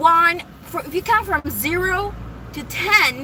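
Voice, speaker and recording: A woman's raised, projected voice over noticeable background noise. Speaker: vlogger. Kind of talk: casual monologue. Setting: in a car. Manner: rambling with self-corrections.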